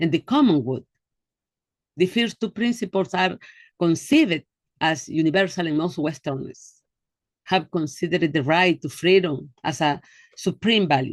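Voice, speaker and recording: A woman with a Spanish accent speaks at a fairly slow pace, her pitch fairly low and her intonation lively. The sound is dry and close, with no echo. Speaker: human rights educator. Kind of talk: online seminar lecture. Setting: video call. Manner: halting.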